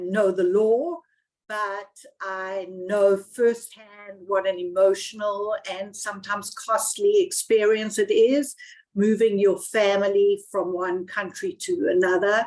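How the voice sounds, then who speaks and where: Speaking very slowly with a South African accent, a woman has a medium pitch and ordinary pitch variation. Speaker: immigration lawyer. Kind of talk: webinar panel talk.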